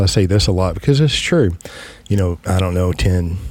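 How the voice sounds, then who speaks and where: A man's fairly low voice with a Southern US accent. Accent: Southern US drawl. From West Texas. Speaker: podcast host, financial agent. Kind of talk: casual chat. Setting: studio.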